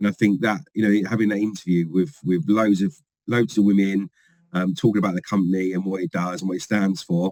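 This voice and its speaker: Recorded with a dry, close sound and no echo, a man with a London accent talks at a fairly quick pace with ordinary pitch variation. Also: fairly low pitch for a man. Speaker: company field trainer. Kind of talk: podcast interview. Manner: animated.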